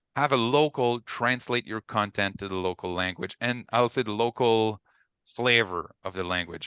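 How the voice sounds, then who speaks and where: This man has a medium-pitched, bright, sharp voice with a French Canadian accent. The sound is dry and close with no echo, over a quiet background. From Quebec. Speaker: ecommerce consultant. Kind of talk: webinar panel talk.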